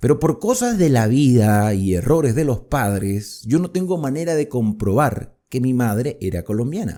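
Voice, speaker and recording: A man talks at a moderate pace with hardly any pauses, his pitch medium. His tone is animated and his intonation lively, on a very clean recording with a silent background. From Venezuela, Colombian border region. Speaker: Bible teacher. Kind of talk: Bible study lecture. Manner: animated, conversational with rhetorical questions.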